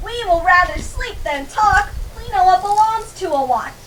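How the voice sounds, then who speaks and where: A woman speaks at a moderate pace in a put-on character voice, pitched extremely high, with lively intonation. Background noise is clearly audible. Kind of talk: high school Shakespeare acting. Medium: stage play.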